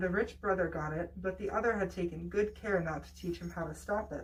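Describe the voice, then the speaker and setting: A woman at a moderate pace, ordinary pitch variation, noticeable background noise behind her. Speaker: storyteller. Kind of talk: bedtime story reading.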